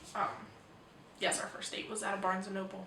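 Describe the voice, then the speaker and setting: Audible room echo and noticeable background noise surround a woman who is soft-spoken. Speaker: book vlogger. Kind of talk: casual video monologue. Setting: at home. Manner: hesitant, many ums.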